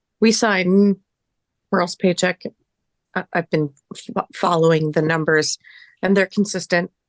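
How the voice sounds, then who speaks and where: A woman puts on a raspy character voice at a medium pitch, speaking at a moderate pace with fairly even intonation. The sound is dry and close, with no echo. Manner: stuttering.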